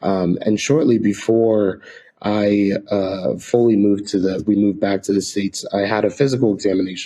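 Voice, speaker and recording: A soft-spoken voice with an American accent, dark and mellow in tone, at a moderate pace with fairly even intonation. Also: man, fairly low pitch for a man. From Ecuador, then rural Nevada. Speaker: missionary. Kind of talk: interview.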